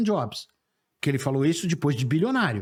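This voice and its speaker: On a very clean recording with a silent background, a man with a fairly high pitch talks at a very fast pace in an animated, somewhat breathy tone. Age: 60s. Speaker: sales professor and speaker. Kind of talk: interview conversation.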